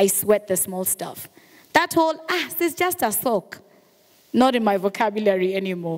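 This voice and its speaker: Against a quiet background, a woman talks at a fairly quick pace in an animated tone. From Kenya, Mombasa; Kenya. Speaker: radio and TV presenter; radio, TV presenter. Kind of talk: motivational talk. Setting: stage with audience. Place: hall. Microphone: handheld.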